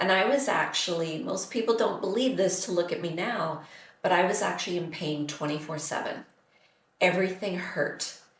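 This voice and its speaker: Audible room echo around a woman at medium pitch, speaking at a moderate pace with ordinary pitch variation. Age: 60s. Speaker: nutritionist. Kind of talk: interview. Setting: podcast.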